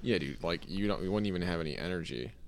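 With vocal fry and lively intonation, a man speaks in a very deep, low pitch. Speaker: podcast co-host. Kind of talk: casual chat, podcast banter.

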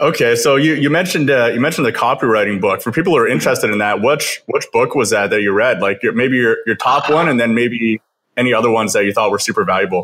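Talking at a very fast pace with hardly any pauses, a man with a western Canadian accent holds a medium pitch, ordinary pitch variation and very even loudness on a very clean recording with a silent background. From Kelowna, British Columbia, Canada. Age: 20s. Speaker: podcast host. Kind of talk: casual interview chat.

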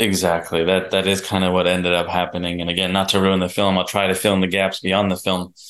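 With a quiet background, a man speaks in a very deep, low monotone at a very fast pace, keeping his loudness very even and hardly pausing at all. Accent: New Jersey. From New Jersey, US. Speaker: documentary producer. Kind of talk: casual chat.

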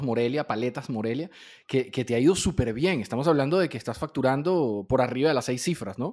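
Against a silent background in a very clean recording, a man speaks very fast at a medium pitch with ordinary pitch variation. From Venezuela. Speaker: podcast host. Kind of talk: interview.

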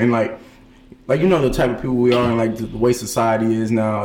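Audible room echo surrounds a man with an American accent who speaks at a very fast pace and a medium pitch. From Brooklyn, New York. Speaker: college student guest. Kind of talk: casual chat.

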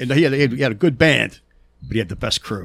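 This man speaks with a Pittsburgh accent. His pitch varies in an ordinary way. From Pittsburgh, US. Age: 50s. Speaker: concert stagehand and touring crew member. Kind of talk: casual chat. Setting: studio. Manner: stutters and pauses often; animated, profane.

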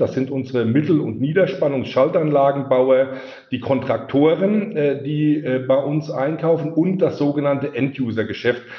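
A man speaks at a moderate pace in a fairly high pitch with ordinary pitch variation, over noticeable background noise. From Palatinate, Germany. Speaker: sales executive. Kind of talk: casual chat.

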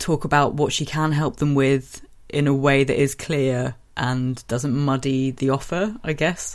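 A woman talks with a very deep, low pitch and fairly even intonation. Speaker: podcast co-host. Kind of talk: casual chat. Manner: fast.

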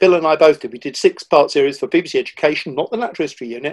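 A man speaks fairly quickly in an unremarkable speaking voice with ordinary pitch variation. The sound is dry and close, with no echo. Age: 60s. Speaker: nature writer and former TV producer. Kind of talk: casual interview chat.

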